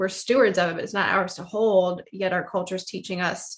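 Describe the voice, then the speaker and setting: A woman with an ordinary speaking voice speaks at a medium pitch with fairly even intonation. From US South. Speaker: podcast host and financial professional. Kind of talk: interview.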